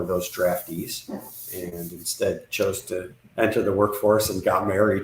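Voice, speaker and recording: A man talks at a moderate pace in a fairly low pitch. It is a plain, everyday voice. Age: 60s. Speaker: business consultant. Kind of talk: podcast interview.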